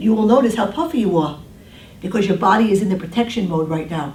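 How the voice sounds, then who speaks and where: A woman with a New York accent races along at a very fast pace, with audible room echo and noticeable background noise. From New York City (Brooklyn). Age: 60s. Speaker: diet counselor. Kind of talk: talk to a group with Q&A. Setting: room with small audience.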